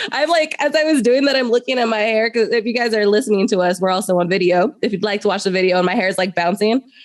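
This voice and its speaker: A woman talks at a very fast pace with hardly any pauses, her fairly high voice animated, with ordinary pitch variation and very even loudness. Noticeable background noise runs underneath. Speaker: podcast host, therapist. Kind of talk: casual chat.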